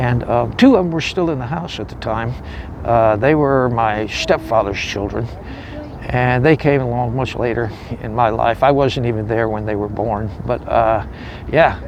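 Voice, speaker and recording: A man talks at a moderate pace, with noticeable background noise and audible room echo in the recording. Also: medium pitch for a man, ordinary pitch variation. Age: 60s. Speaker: homeless war veteran. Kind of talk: testimony. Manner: halting.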